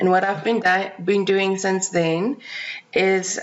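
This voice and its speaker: Over noticeable background noise, a woman with a South African accent speaks fairly slowly at a fairly low pitch and with fairly even intonation. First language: Afrikaans. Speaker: freelance researcher and writer. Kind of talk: self-introduction video. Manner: hesitant, many fillers.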